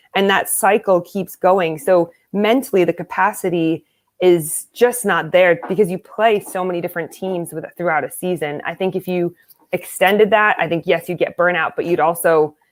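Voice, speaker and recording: An unremarkable speaking voice from a woman with an American accent, fairly low in pitch, with fairly even intonation at a moderate pace. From United States. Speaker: American football coach and player. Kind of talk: interview.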